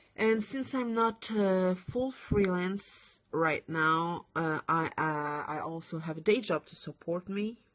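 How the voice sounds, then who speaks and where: A woman with a French accent at a very slow pace, hardly any pauses, a medium pitch and ordinary pitch variation. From France. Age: 20s. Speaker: lettering designer. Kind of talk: live stream tutorial chat. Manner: halting.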